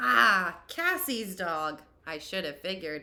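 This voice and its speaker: In a put-on character voice, the speaker goes at a fairly slow pace with lively intonation. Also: woman, medium pitch for a woman. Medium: read story. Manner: stern, brisk.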